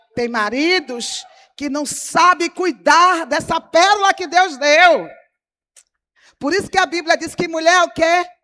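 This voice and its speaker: At a fairly slow pace with long, frequent pauses, a woman projects an extremely high, raised voice with a bright, sharp, animated tone and ordinary pitch variation. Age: 60s. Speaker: pastor. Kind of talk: sermon.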